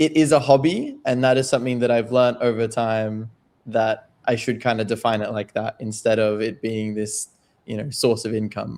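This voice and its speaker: In an Australian accent, a man speaks at a moderate pace with a medium pitch and fairly even intonation. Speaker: crypto trader and writer. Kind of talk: podcast interview.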